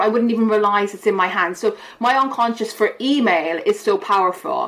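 A woman speaks in an Irish accent with a fairly high pitch. Noticeable background noise is present. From Ireland. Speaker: behavioural science professor. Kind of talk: casual interview.

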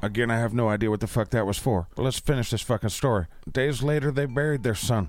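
Reading aloud in a natural voice, with ordinary pitch variation.

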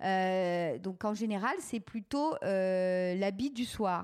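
Here a woman speaks. Her intonation is lively. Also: very clean recording, silent background. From France, Touraine. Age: 40s. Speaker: entrepreneur. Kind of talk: interview. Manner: hesitant, many fillers.

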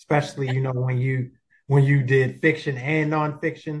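At a moderate pace, a man with an American accent speaks at medium pitch in a somewhat breathy, monotone, flat delivery. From Baltimore, Maryland. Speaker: podcast host and life skills coach. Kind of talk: interview.

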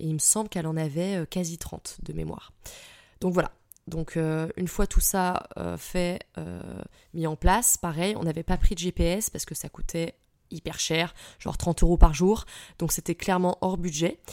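On a very clean recording with a silent background, a woman speaks with long, frequent pauses, big swings in loudness and fairly even intonation, in a dry, close sound with no echo. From France, Île-de-France (Fontainebleau) and Troyes. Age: 30s. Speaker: podcaster. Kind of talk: casual solo storytelling. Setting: solo at the microphone. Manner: spontaneous, many hesitations (euh).

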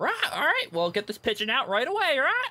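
A put-on character voice with a high pitch moves at a fairly quick pace.

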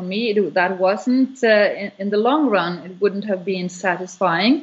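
With a Norwegian accent, a woman speaks at a fairly slow pace. Her medium pitch shows ordinary variation. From Norway. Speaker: business owner. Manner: halting.

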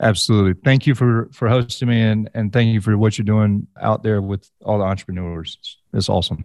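In a plain, everyday voice, a man speaks at a fairly quick pace and fairly low pitch with fairly even intonation, the sound dry and close with no echo. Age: 30s. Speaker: clothing entrepreneur. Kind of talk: interview. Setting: video call.

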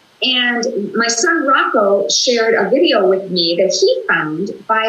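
There is noticeable background noise as a woman with an American accent speaks at a fairly high pitch. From US Midwest, Minnesota. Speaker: talk show guest, author and former radio personality. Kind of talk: casual interview. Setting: video call.

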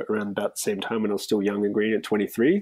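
Fairly low in pitch, this man speaks in an Australian accent with ordinary pitch variation. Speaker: bar manager. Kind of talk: casual chat. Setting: video call.

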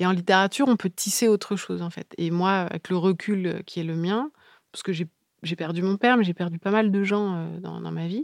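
A woman's medium-pitched voice at a fairly quick pace, with ordinary pitch variation, dry and close with no echo, on a very clean recording with a silent background. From Paris region, France (Yvelines). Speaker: novelist. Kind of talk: interview. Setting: literary festival. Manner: halting.

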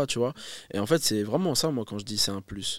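A man with an unremarkable speaking voice talks at medium pitch and a fairly quick pace, with ordinary pitch variation. The recording is very clean with a silent background and a dry, close sound with no echo. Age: 20s. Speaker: rapper. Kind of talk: casual chat.

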